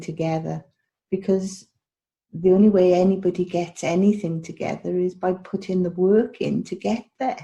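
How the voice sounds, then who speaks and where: Speaking in a Welsh accent, a woman has a fairly low pitch and a dark, mellow, somewhat breathy tone with fairly even intonation. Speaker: health and wellness coach. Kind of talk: interview podcast. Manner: repetitive, hesitant phrasing.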